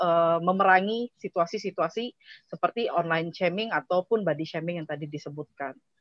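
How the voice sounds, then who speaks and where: A woman speaks at a moderate pace. The sound is dry with no echo, over a quiet background. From Indonesia. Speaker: digital rights advocate; webinar presenter. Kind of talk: presentation. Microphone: video call.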